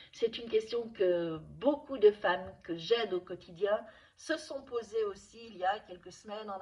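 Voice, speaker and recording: A woman with a medium pitch speaks at a fairly slow pace, her pitch varying in an ordinary way. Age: 60s. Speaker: nutrition and wellness coach. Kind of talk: advice video to camera. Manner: hesitant, with repetitions and fillers.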